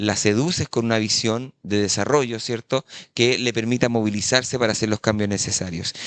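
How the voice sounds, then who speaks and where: A man's normal speaking voice at a medium pitch, with fairly even intonation and a moderate pace, in a dry, close sound with no echo and a quiet background. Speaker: journalist, environmental activist. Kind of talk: panel talk. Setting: conference panel with interpretation.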